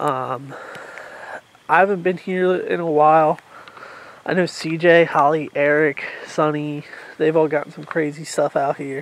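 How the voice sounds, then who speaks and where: A man speaks at a fairly slow pace, leaving long, frequent pauses. His intonation stays fairly even, and the sound is dry with no echo. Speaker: paranormal explorer vlogger. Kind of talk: casual vlog chat. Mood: calm, slightly tense. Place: forest. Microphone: phone near.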